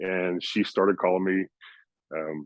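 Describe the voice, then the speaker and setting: A man talks at a moderate pace in an unremarkable speaking voice. His pitch sits fairly low. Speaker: podcast guest, NFT collector. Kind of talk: casual chat.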